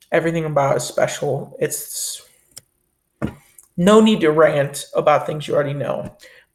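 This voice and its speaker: There is music in the background as a man talks at a moderate pace with long, frequent pauses. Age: young. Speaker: film review youtuber. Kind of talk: casual monologue.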